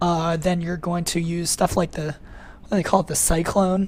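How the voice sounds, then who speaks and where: A fairly quick, somewhat breathy delivery. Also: woman. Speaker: programming instructor. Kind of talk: webinar lecture. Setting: online webinar. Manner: fast; casual, many fillers.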